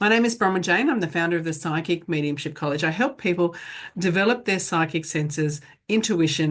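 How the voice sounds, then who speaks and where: This woman has an unremarkable speaking voice, fairly low in pitch, with ordinary pitch variation, a moderate pace and a quiet background. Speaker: psychic medium teacher. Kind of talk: online class lecture. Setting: pre-recorded video class.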